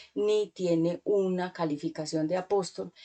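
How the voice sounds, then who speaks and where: A woman with a dark, mellow tone talks in fairly even intonation. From Colombia. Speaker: preacher. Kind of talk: sermon.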